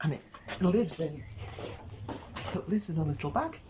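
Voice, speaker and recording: A woman's quiet whispering at a fairly quick pace, with noticeable background noise. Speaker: cooking presenter. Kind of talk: cooking tutorial. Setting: outdoors in garden. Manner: whispering, quiet.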